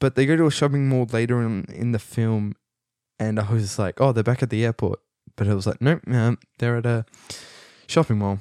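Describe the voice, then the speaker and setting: Dry and close with no echo, a man's dark, mellow voice at a medium pitch moves at a fairly quick pace, broken by long, frequent pauses. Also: very clean recording, silent background. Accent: Australian. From Australia. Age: young. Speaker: podcast host, film student. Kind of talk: casual movie review monologue. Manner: animated; halting, many fillers.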